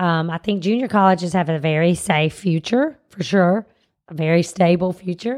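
A woman's fairly low voice in a Southern US accent, with ordinary pitch variation and a moderate pace. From US South. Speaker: teacher, co-host. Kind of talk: casual chat.

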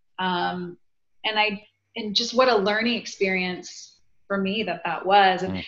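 An unremarkable speaking voice at a fairly slow pace, with fairly even intonation. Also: woman, medium pitch for a woman. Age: 40s. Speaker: author and women's group leader. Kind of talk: casual chat.

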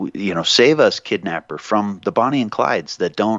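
Here is a man with a normal speaking voice. He talks at a fairly quick pace with lively intonation. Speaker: radio host. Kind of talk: talk radio show.

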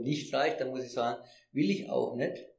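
A man's dark, mellow tone carries audible room echo. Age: 60s. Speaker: retired fair trade manager. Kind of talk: interview. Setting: in person. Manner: halting.

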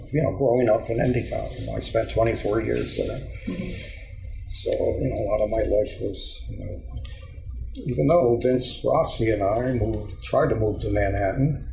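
A man's moderately paced speech is heard with audible room echo. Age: 60s. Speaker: musician. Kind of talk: casual interview. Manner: rambling with many fillers.

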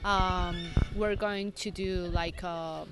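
Speaking with a Spanish accent, a woman uses a monotone, flat intonation and a bright, sharp tone. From Mexico City. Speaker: resort marketing manager. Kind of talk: interview.

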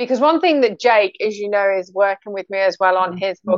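A woman talks at a very fast pace with a British accent. Her pitch sits at a medium level. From UK, North Sea coast. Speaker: podcast host and author. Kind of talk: casual chat.

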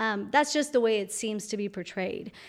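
A woman with a Spanish accent speaks at a fairly high pitch on a very clean recording with a silent background. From Colombia. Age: young. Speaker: entrepreneur, founder of a language school. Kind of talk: interview.

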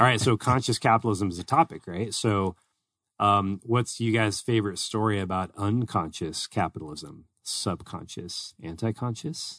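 In an ordinary speaking voice, a man with an American accent talks at a moderate pace and fairly low pitch, with ordinary pitch variation and a dry, close sound with no echo over a quiet background. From US state outside Arizona. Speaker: podcast co-host. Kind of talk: casual chat. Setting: studio.

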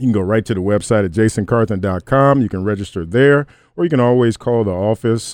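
This man has an unremarkable speaking voice, pitched in the medium range, with an American accent. His intonation is lively. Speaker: motivational speaker and radio host. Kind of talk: motivational talk and interview. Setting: radio show studio.

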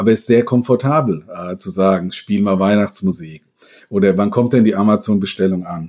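A normal speaking voice from a man, fairly low in pitch with ordinary variation, at a moderate pace on a very clean recording with a silent background. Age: 50s. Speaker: professor of business informatics, games industry expert. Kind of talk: interview.

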